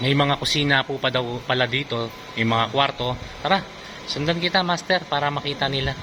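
A man's fairly high voice with ordinary pitch variation, at a fairly quick pace over noticeable background noise. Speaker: vlogger showing a resort. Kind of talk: tour-guide style walkthrough of a resort, promotional and joking. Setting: outdoors at a resort, filming a vlog. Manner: animated, enthusiastic, repeatedly praising the place with 'ganda po' and 'napakaganda'; playful and teasing, addressing a friend as 'Master' and laughing often.

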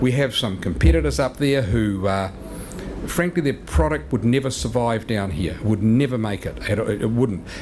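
With a New Zealand accent, a man speaks at a moderate pace in a fairly low pitch with very wide pitch swings over noticeable background noise. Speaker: sales and marketing executive; sales. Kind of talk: seminar presentation. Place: meeting room. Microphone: podium.

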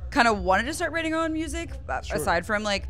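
A woman talks at a very fast pace. Faint music plays in the background. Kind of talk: interview answer. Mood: cheerful, laughing at times. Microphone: handheld.

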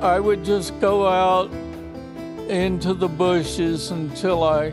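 Over clear background music, a man with a high voice speaks at a very slow pace. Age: 80s+. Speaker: retired falconer. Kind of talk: interview answer. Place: home room.

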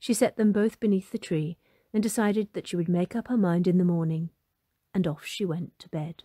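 A woman's medium-pitched, somewhat breathy voice with a dark, mellow, gentle, warm tone, ordinary pitch variation and big swings in loudness, in a dry, close sound with no echo. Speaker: storybook narrator. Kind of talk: fairy-tale narration, storybook reading aloud. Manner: gentle, warm and animated, with a storyteller's lilt; clear, unhurried pacing, voicing Molly, mum, dad and fairy.

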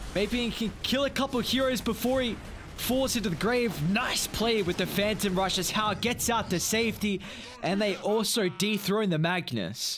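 A man's high-pitched voice at a very even loudness, over noticeable background noise. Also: ordinary pitch variation, moderate pace. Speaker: esports caster. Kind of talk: live esports commentary.

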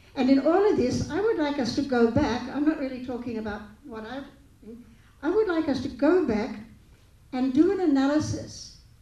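In a room with audible echo, a woman with a high pitch talks at a moderate pace, leaving long, frequent pauses and making big swings in loudness. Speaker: speaker. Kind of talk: panel discussion remarks. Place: hall. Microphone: handheld.

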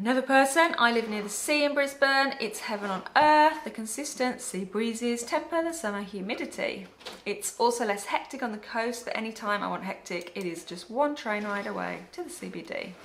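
Light background noise, hardly any pauses, a moderate pace and lively intonation. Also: woman. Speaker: travel and migration blogger; migration blogger. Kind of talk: reading aloud viewer comments. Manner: casual, laughs often. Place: home room.

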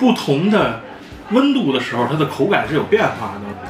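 Clear music plays behind a man as he talks. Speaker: food reviewer. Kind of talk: casual vlog chat. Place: cafe.

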